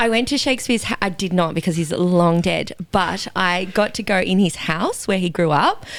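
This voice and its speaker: A woman with an Australian accent at a medium pitch, moderate pace and hardly any pauses. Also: ordinary pitch variation. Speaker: fitness educator. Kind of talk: casual chat.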